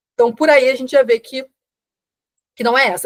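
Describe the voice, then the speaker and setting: A woman speaks at a very fast pace, the sound dry and close with no echo. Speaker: teacher. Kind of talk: live online class.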